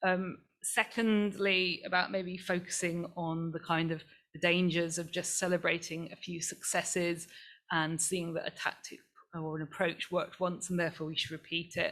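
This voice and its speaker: At a moderate pace, a woman with a fairly low pitch speaks in a monotone, flat intonation, in a very clean recording with a silent background. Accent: East Anglian. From England, the Fens (East Anglia). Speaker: climate activist. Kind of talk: panel talk. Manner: halting, many fillers and restarts.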